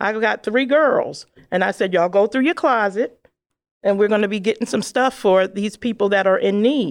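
A woman with an American accent speaks in an ordinary speaking voice at a medium pitch, her intonation lively, on a very clean recording with a silent background. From Brooklyn, New York. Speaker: social services manager. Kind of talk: interview.

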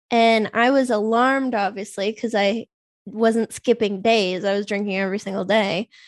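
A woman's fairly high pitch with fairly even intonation at a moderate pace, in a dry, close sound with no echo against a quiet background. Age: 30s. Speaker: biochemist, sober-living advocate. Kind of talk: casual chat.

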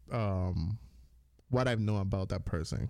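With a Caribbean accent, this voice has a dark, mellow tone and ordinary pitch variation at a fairly slow pace. The recording is very clean, with a silent background. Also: man. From US Virgin Islands, Dominican family. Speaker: podcast co-host. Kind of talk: casual chat.

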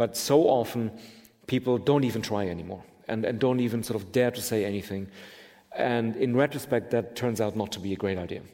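A man speaks in a normal speaking voice. His pitch is medium, with ordinary variation. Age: 50s. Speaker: political theorist. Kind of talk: onstage conversation. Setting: stage with audience.

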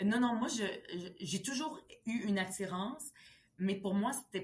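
Here a woman speaks at a fairly slow pace. Her voice is somewhat breathy. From Quebec, Montreal (arrived age 10 from Lebanon). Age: 40s. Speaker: politician. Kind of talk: interview.

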